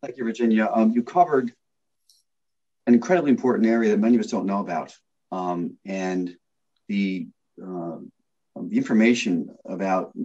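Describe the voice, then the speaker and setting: Speaking with lively intonation and long, frequent pauses, a man uses a medium pitch and a dark, mellow tone. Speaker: panel moderator. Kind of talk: panel moderation. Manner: fast.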